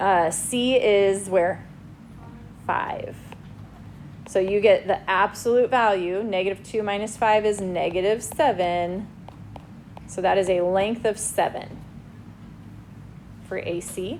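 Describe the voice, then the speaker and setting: A medium-pitched woman at a very slow pace, with fairly even intonation, long, frequent pauses and audible room echo. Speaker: high school math teacher. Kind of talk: classroom lecture.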